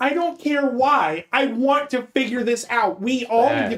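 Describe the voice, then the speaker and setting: In a put-on character voice, a female-sounding speaker talks at a moderate pace with a high pitch. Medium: actual play. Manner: emotional, breaking down.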